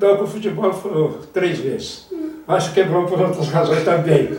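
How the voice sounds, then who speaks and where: A man speaks at high pitch and moderate pace. Noticeable background noise and audible room echo are present. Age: 80s+. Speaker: former football federation president, author. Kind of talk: interview.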